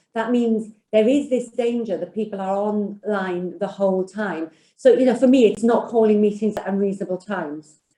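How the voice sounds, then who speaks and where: A woman with a Welsh accent, medium pitch, ordinary pitch variation, a dark, mellow tone and a moderate pace. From Wales. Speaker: financial services executive. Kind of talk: panel discussion.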